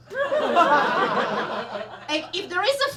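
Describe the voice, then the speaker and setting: A woman with an Eastern European accent speaks in a raised, projected voice with lively intonation, and noticeable background noise is present. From Belarus. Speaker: stand-up comedian. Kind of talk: live stand-up comedy set.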